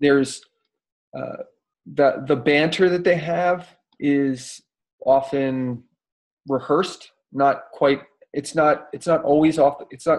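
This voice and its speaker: A man speaks at a very slow pace in a fairly high voice, his intonation fairly even and broken by long, frequent pauses. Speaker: motivational speaker. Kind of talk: casual chat.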